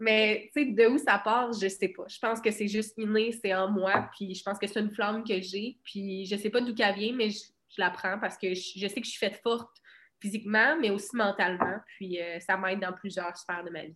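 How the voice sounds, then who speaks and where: Speaking in a Quebec accent, a woman keeps a medium pitch, moderate pace and fairly even intonation. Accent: Québécois French. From Quebec, Bas-Saint-Laurent (Cabano). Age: 20s. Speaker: boxer. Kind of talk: casual interview.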